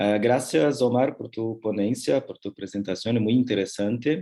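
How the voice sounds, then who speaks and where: In a Portuguese accent, a man talks at a fairly slow pace with a dark, mellow tone and ordinary pitch variation over a quiet background. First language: Portuguese (speaking Spanish). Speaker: discussant professor. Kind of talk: academic commentary.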